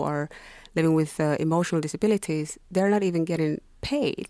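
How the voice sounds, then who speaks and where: On a very clean recording with a silent background, a woman speaks in a dark, mellow tone at a fairly low pitch, with ordinary pitch variation. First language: not English. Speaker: activist and writer. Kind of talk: studio interview. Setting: studio.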